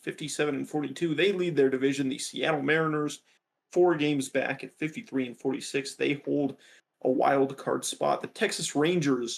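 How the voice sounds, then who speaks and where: A man with an unremarkable speaking voice talks at a moderate pace. His pitch is fairly high and his intonation fairly even. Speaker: sports podcast co-host. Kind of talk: casual sports chat, reading standings.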